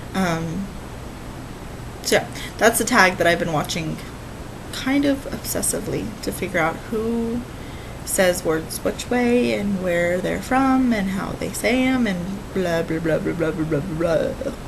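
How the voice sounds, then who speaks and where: A woman with an American accent talks at a fairly slow pace, her intonation lively. There is noticeable background noise and audible room echo. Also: medium pitch for a woman. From California. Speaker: cross-stitch vlogger. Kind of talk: casual vlog chat. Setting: at home, dining room table.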